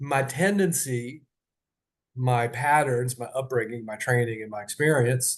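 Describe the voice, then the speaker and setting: Against a quiet background, a man with a somewhat breathy, medium-pitched voice speaks at a moderate pace with ordinary pitch variation. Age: 60s. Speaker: podcast host and leadership trainer. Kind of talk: personal podcast monologue. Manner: halting, many fillers and restarts.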